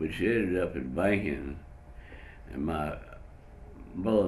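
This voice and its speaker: A man with a Southern US accent talks with vocal fry and ordinary pitch variation amid audible room echo. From North Carolina (Whiteville). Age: 90s. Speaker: retired pharmacist, war veteran. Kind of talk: interview testimony. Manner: halting, with many fillers.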